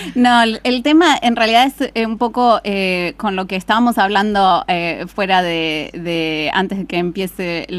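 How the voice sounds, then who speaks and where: A woman speaks at a fairly slow pace. Her pitch is medium, with ordinary variation. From Argentina, Buenos Aires province. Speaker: astrophysicist. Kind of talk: interview. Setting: studio.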